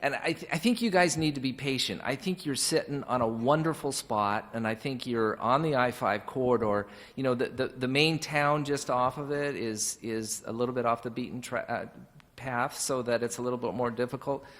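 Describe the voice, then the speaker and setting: A man with a plain, everyday voice talks at a medium pitch and moderate pace with ordinary pitch variation. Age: 60s. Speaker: commercial real estate panelist. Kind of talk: panel discussion.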